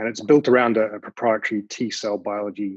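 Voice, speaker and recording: In a dry, close sound with no echo, a man speaks fairly quickly at a fairly low pitch with monotone, flat intonation. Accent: New Zealand. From New Zealand. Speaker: biotech founder and CEO. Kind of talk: panel discussion.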